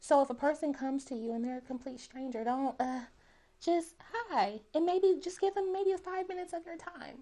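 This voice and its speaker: A woman speaks in a high, squeaky voice at a moderate pace. Her intonation is lively and her loudness swings a lot. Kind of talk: podcast conversation. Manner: warm, animated.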